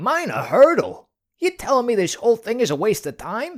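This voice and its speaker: A cartoonish character voice, fairly high in pitch with very wide pitch swings, goes at a moderate pace in a very clean recording with a silent background. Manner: sarcastic.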